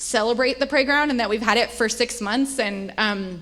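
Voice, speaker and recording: Over noticeable background noise, a woman with a high pitch speaks with ordinary pitch variation. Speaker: church staff leader. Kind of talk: church update presentation. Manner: fast.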